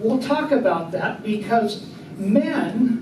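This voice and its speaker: Over noticeable background noise and audible room echo, a man speaks at a very slow pace with ordinary pitch variation. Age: 70s. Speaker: Bible class teacher. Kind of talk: Bible study class discussion. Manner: conversational, interactive.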